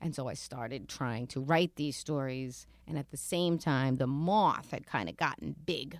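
Speaking in a New York accent at a moderate pace with hardly any pauses, a woman uses a very deep, low pitch with vocal fry and ordinary pitch variation, in a very clean recording with a silent background. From New York City (Queens). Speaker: author and storyteller. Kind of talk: casual interview. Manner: animated.

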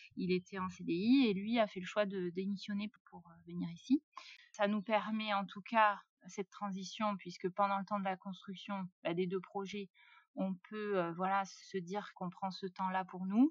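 Somewhat breathy and at medium pitch, a woman speaks at a fairly slow pace with fairly even intonation and big swings in loudness, in a dry, close sound with no echo. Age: 30s. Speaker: self-builder of a tiny house. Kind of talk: interview conversation.

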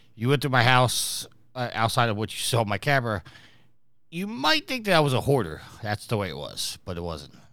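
Talking at a fairly quick pace, a man with a bright, sharp tone and vocal fry swings his pitch very widely on a very clean recording with a silent background. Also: medium pitch for a man. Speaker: podcast host. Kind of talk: casual chat.

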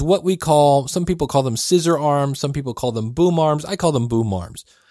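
On a very clean recording with a silent background, a man's fairly high voice has a dark, mellow tone, ordinary pitch variation and a moderate pace. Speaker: podcast host. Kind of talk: sales pitch, infomercial-style product plug. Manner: upbeat, salesy, emphatic; conversational, casual, with filler words.

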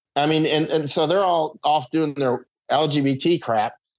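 The pitch shows ordinary variation. The background is quiet. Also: man. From Florida. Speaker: war correspondent. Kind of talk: casual chat. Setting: remote call from Panama Canal. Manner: rambling, halting with fillers.

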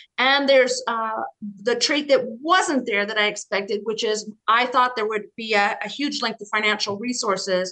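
Here a woman speaks with an American accent at a moderate pace. Her pitch is fairly high, with ordinary variation and a bright, sharp tone. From US, Colorado. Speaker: business professor and author. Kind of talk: interview.

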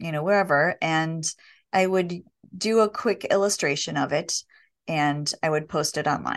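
A woman speaks in an ordinary speaking voice with lively intonation at a fairly slow pace against a quiet background. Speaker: illustrator and author. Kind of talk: interview.

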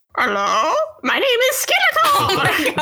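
In a put-on character voice pitched extremely high, the speaker goes at a fairly slow pace with very wide pitch swings. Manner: funny, exaggerated.

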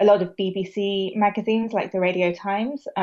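A woman speaks with a British accent at a moderate pace. Her intonation is monotone and flat. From England, Bath. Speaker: founder of a vegan media brand. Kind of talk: interview.

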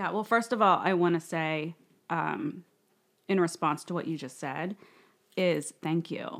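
In a very clean recording with a silent background, a woman speaks with ordinary pitch variation and long, frequent pauses. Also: fairly low pitch for a woman. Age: 30s. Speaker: women's community founder. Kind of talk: casual interview.

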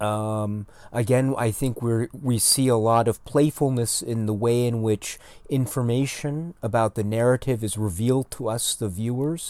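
A man speaks at a moderate pace with fairly even intonation, in an ordinary speaking voice. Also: medium pitch for a man. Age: 40s. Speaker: film YouTuber. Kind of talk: casual chat.

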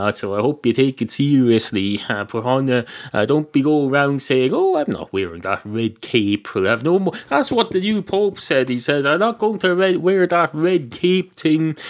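With an Irish accent, a man with a fairly high voice talks at a moderate pace, his pitch swinging very widely, with hardly any pauses, on a very clean recording with a silent background. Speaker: podcaster. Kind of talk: comedic monologue. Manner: rambling with frequent fillers.

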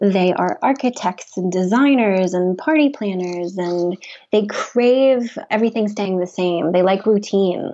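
A woman with an American accent and an unremarkable speaking voice talks fairly slowly at medium pitch with ordinary pitch variation. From US South, Memphis, Tennessee. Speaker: wellness center founder. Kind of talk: interview.

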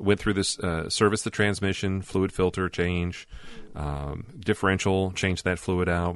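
Very deep and low, a man's voice moves at a fairly slow pace with fairly even intonation. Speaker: podcast host. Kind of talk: casual chat.

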